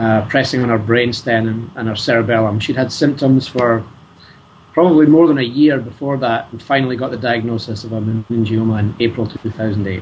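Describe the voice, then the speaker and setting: The speech moves at a fairly quick pace. Its intonation stays fairly even. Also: man, medium pitch for a man. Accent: Scottish. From Scotland. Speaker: scientist and charity fundraiser. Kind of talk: interview. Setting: video call.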